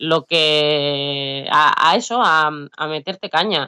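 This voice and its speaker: A woman's very deep, low voice in a dry, close sound with no echo. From Basque Country, Biscay. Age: 30s. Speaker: rapper. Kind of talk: interview.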